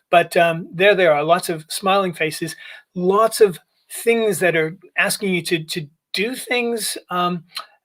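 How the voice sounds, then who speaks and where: Fairly slow speech in an American accent. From United States. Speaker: user experience consultant. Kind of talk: conference presentation. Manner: halting, many fillers.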